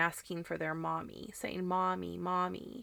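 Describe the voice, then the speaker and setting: A woman speaks loudly at a medium pitch with a bright, sharp tone. Her pace is fairly slow. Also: very clean recording, silent background. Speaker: podcast host. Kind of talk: casual chat.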